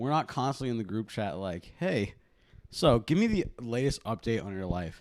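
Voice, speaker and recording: In a very clean recording with a silent background, a man speaks with a plain, everyday voice. His pitch is medium, his intonation lively, and his pace moderate. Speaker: podcast host. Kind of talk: casual chat.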